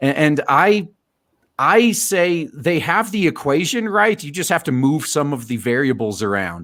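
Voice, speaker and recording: His pitch moves up and down very widely. The man talks at a fairly slow speed. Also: fairly high pitch for a man. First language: not English. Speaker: livestream host. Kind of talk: casual livestream chat. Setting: live stream, online call. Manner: halting, frequent stammers.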